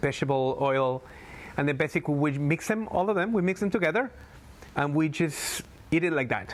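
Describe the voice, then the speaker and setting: A man's fairly high, fairly quick voice with a Spanish accent. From Galapagos Islands, Ecuador. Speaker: tour guide. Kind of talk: interview.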